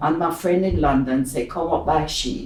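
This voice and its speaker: A woman with a Jamaican accent at a fairly slow pace, with audible room echo and noticeable background noise. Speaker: pensioner. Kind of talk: oral history interview.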